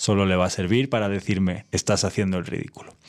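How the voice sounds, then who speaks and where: The man's moderate-paced speech comes through on a very clean recording against a silent background. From Spain, Castile. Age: 30s. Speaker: podcast host. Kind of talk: personal monologue.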